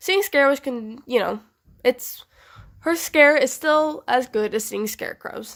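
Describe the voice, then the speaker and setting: This woman's pitch swings very widely as she keeps a moderate pace. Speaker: Halloween prop reviewer. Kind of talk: casual unscripted review to camera. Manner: stuttering.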